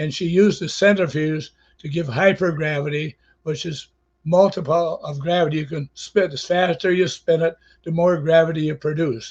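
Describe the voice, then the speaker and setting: Speaking in an American accent at a moderate pace, a man uses a high pitch and fairly even intonation, with big swings in loudness. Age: 90s. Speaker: inventor, retired teacher. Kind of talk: interview. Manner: halting, with frequent fillers.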